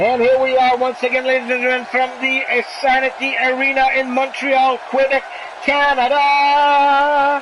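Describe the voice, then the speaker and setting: Moderate pace amid noticeable background noise. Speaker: streamer doing wrestling commentary. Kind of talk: live commentary. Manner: animated.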